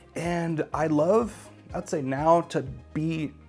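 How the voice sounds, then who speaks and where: Music plays in the background as a man talks. He goes at a very slow pace with fairly even intonation. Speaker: podcaster. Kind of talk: casual talk to camera. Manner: stutters.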